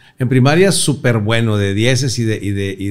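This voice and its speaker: An animated man with ordinary pitch variation. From northern Mexico, Torreón; northern Mexico. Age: 60s. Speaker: comedian; comedian guest. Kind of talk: casual interview chat. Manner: animated storytelling. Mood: joking, animated storytelling. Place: studio. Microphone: studio mic.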